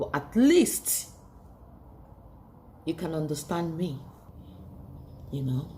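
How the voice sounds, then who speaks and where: A woman with a non-native accent speaks very slowly in a very deep, low pitch, with a dark, mellow tone that is somewhat breathy. Her pitch variation is ordinary, and she leaves long, frequent pauses. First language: not English. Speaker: beauty vlogger. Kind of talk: motivational monologue.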